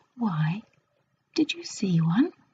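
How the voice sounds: Slowly and in a put-on character voice, a woman speaks at medium pitch with a dark, mellow tone, a husky, rough edge and big pitch swings.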